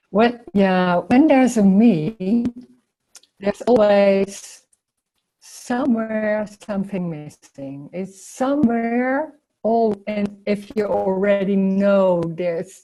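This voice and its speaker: Speaking very slowly with a non-native accent, a woman has a dark, mellow tone at medium pitch and ordinary pitch variation. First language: not English. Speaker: spiritual teacher. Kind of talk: casual chat. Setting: video call. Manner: halting.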